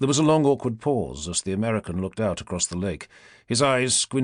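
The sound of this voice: The intonation here is lively. It comes from an unforced reading voice.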